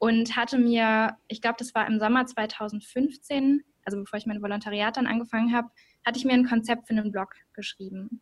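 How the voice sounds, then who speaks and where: Her fairly high pitch stays monotone and flat as a woman speaks at a fairly quick pace. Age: 20s. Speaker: journalism student and podcaster. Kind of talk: interview.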